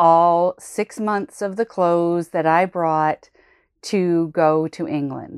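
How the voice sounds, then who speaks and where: A woman with a fairly low pitch speaks at a very slow pace and with fairly even intonation. The recording is very clean, with a silent background and a dry, close sound with no echo. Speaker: college admissions podcast host. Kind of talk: solo podcast monologue. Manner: casual, conversational with fillers.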